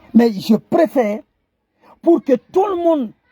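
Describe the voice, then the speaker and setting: A man with a Guinean accent, lively intonation and a very slow pace. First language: Kissi (speaking French). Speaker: online commentator. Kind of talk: impassioned video address. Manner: halting, repetitive stammering; impassioned.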